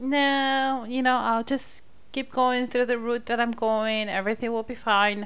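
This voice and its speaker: Recorded very cleanly against a silent background, a woman speaks at a fairly slow pace in a high pitch. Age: 30s. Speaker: podcast host and mother. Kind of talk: casual chat; interview.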